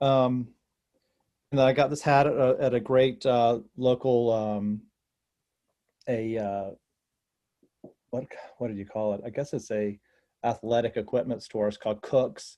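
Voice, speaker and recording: A man with a North Carolina accent talks at a fairly slow pace and medium pitch in a dark, mellow tone, with fairly even intonation and long, frequent pauses. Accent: North Carolina southern. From North Carolina (North Wilkesboro). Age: 70s. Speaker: actor and comedian. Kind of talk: casual interview chat.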